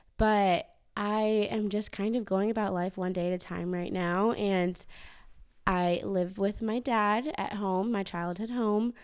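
In an ordinary speaking voice, a woman speaks fairly slowly at a medium pitch with fairly even intonation, on a very clean recording with a silent background. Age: 20s. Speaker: former gymnast sharing grief story. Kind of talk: casual interview, personal testimony.

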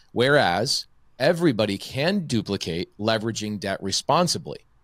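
A man with a normal speaking voice talks at a fairly low pitch with lively intonation on a very clean recording with a silent background. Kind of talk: casual interview chat.

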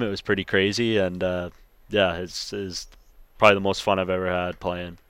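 A man with a western Canadian accent and a very deep, low pitch talks at a very fast pace in a monotone, flat intonation. The recording is very clean, with a silent background. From British Columbia, Canada (Langley). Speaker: professional hockey goaltender. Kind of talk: interview.

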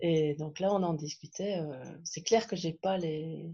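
Somewhat breathy and dark, mellow in tone, a woman speaks at a very deep, low pitch with ordinary pitch variation. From Belgium. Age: 40s. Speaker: podcast guest, challenge participant. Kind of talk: casual interview. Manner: hesitant, many fillers.

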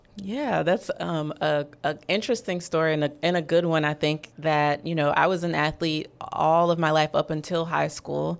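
A woman's very deep, low voice with fairly even intonation and hardly any pauses, in a very clean recording with a silent background. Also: moderate pace. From New Orleans. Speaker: sports psychologist. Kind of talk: interview. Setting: studio.

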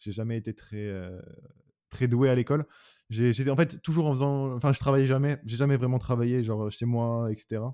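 A man speaks at a medium pitch in a dark, mellow tone, with fairly even intonation and big swings in loudness. His moderate pace includes long, frequent pauses, and the sound is dry and close with no echo. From France, Orléans. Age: 20s. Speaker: YouTuber and clothing brand founder. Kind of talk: casual interview chat.

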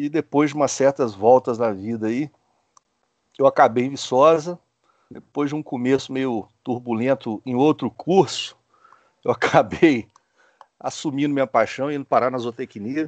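Against a quiet background, a man talks at a moderate pace and medium pitch with ordinary pitch variation and long, frequent pauses, the sound dry and close with no echo. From Brazil, Espírito Santo (small town). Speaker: animal science professor and scientist. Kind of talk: interview. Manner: hesitant, repeats words.

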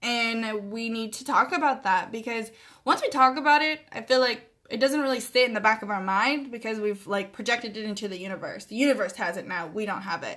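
A woman's fairly high voice with a bright, sharp tone at a moderate pace over a quiet background. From US Pacific Northwest (Oregon). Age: 20s. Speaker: podcast host. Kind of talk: solo podcast monologue.

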